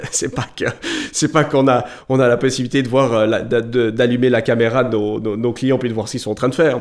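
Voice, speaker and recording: A man talks at a very fast pace and a medium pitch on a very clean recording with a silent background. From Switzerland, Valais, grew up in Vaud. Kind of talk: podcast interview. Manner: hesitant, many repetitions.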